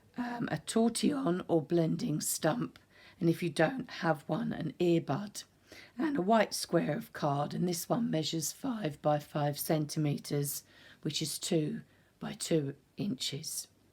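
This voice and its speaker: At a fairly slow pace, a woman with a British accent speaks in a calm, somewhat breathy tone with lively intonation. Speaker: art instructor. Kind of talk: tutorial. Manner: calm, instructive.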